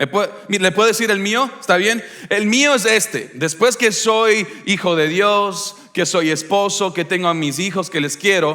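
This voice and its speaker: Over noticeable background noise, a man with a high pitch speaks fairly slowly in a raised, projected voice, with an animated tone and ordinary pitch variation. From Ecuador. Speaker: pastor. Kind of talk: sermon. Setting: church service with congregation.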